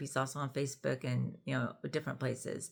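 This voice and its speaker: On a very clean recording with a silent background, a woman with vocal fry speaks at a moderate pace. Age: 60s. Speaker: YouTuber discussing parenting and relationships. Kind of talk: casual vlog monologue. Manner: conversational, with frequent fillers.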